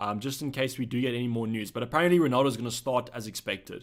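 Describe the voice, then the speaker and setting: A man with a medium-pitched voice talks at a very fast pace. The recording is very clean, with a silent background. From South Africa. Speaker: fantasy football streamer. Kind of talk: live stream chat Q&A. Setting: live stream. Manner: casual, conversational.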